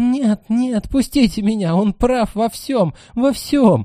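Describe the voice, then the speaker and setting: A man shouting in a put-on character voice, at an extremely high pitch and a fairly slow pace. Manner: shouting through tears.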